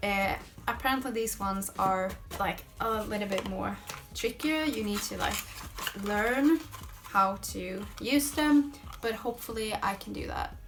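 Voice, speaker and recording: A woman with a Swedish accent at a fairly slow pace, long pauses coming often, with music in the background and audible room echo. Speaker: lifestyle vlogger. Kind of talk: product haul video. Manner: casual, hesitant with fillers.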